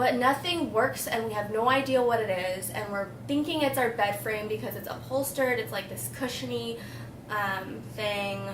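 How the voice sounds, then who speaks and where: The intonation is lively, and the pace is moderate. Audible room echo and noticeable background noise fill the recording. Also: woman, fairly high pitch for a woman. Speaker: beauty vlogger. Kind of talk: casual chat. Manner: casual, rambling.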